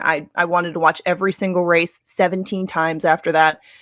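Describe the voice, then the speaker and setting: Against a quiet background, a woman with an unremarkable speaking voice and fairly low pitch talks at a fairly quick pace. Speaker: track handicapper and race announcer. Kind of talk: podcast interview answer.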